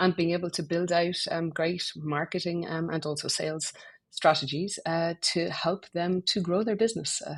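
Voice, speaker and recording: Against a quiet background, a woman with an Irish accent speaks at a moderate pace and a fairly low pitch. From Ireland. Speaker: business strategy executive. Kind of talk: casual business podcast chat.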